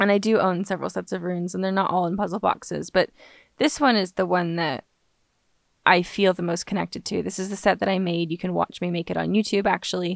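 A woman speaks very fast at a medium pitch with fairly even intonation. The recording is very clean and silent in the background, with a dry, close sound and no echo. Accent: American. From Los Angeles, US. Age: 20s. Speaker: witchcraft podcaster, author and singer-songwriter. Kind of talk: casual solo podcast monologue. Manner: chatty, humorous, digressive.

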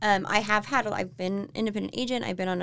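A woman's medium-pitched voice with an American accent, a plain, everyday voice, ordinary pitch variation and a fairly quick pace. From Florida and Tennessee, US South. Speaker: real estate agent, home stager. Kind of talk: casual interview. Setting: office studio.

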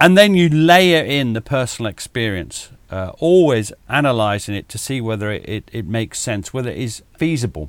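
At a moderate pace and with hardly any pauses, a man with a medium pitch makes very wide pitch swings and big swings in loudness. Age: 60s. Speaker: military historian. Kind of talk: casual chat.

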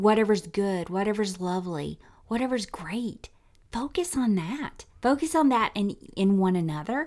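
On a very clean recording with a silent background, a woman with a Southern US accent talks at a moderate pace. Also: medium pitch for a woman, lively intonation. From US South, Tennessee. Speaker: podcast co-host. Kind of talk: casual chat.

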